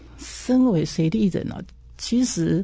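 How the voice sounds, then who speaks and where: On a very clean recording with a silent background, a woman's voice sounds dark, mellow and somewhat breathy. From Taiwan, Changhua County. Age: 60s. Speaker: irrigation agency director. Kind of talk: interview.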